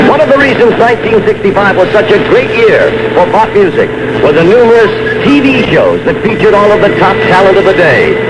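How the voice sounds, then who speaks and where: Loud background noise is present. A man speaks at a fairly quick pace. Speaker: radio disc jockey. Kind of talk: radio show host narration. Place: studio. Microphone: old recording.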